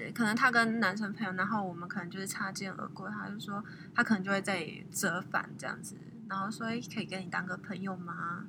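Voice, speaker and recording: Fairly quick speech with big swings in loudness, fairly even intonation and audible room echo. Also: woman, medium pitch for a woman. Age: 20s. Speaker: guest. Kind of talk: casual interview.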